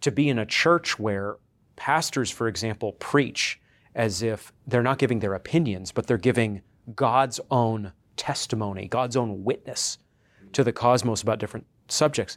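A man's ordinary speaking voice with an American accent, medium pitch, ordinary pitch variation, and moderate pace, in a very clean recording with a silent background. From coastal Maine, US. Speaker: theology professor. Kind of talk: interview.

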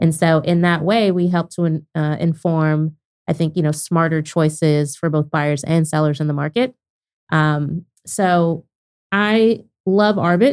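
Here is a woman with an unremarkable speaking voice and a fairly low pitch. Her loudness stays very even. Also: ordinary pitch variation, fairly slow pace. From Oklahoma (Lawton). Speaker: startup founder. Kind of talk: interview. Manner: casual.

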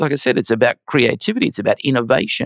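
With an Australian accent, a man speaks at a medium pitch with lively intonation, recorded very cleanly in a dry, close sound against a silent background. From Brisbane, Australia. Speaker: finance executive and arts donor. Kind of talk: interview.

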